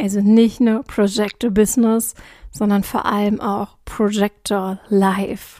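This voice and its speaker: A woman speaks very slowly at a medium pitch in a monotone, flat delivery. Her tone is dark and mellow, and somewhat breathy. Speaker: podcast host. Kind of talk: casual monologue.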